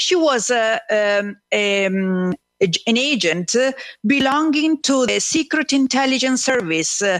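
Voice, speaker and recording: Speaking at a fairly slow pace with an Italian accent, a woman uses a high pitch with very wide swings and very even loudness, in a very clean recording with a silent background. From Italy, Numana (Marche). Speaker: author. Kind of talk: radio interview. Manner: halting, many fillers.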